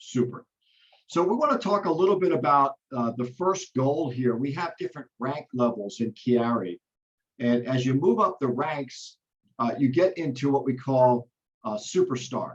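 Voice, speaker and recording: A man's plain, everyday voice, medium in pitch, with lively intonation at a moderate pace. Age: 60s. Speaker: network marketing trainer. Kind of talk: business training on video call. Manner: frequent fillers (uh).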